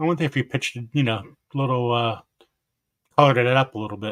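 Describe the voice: Mumbling at a very fast pace, a man does a put-on character voice at a medium pitch.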